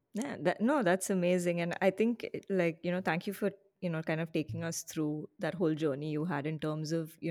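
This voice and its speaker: On a very clean recording with a silent background, a woman speaks at a fairly quick pace with a dark, mellow tone and fairly low pitch. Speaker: podcast host. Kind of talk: casual interview chat.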